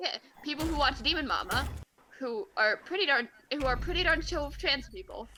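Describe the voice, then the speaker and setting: A woman with a high pitch projects a raised voice, talking at a fairly quick pace with lively intonation. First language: not English. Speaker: streamer. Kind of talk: casual chat. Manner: halting.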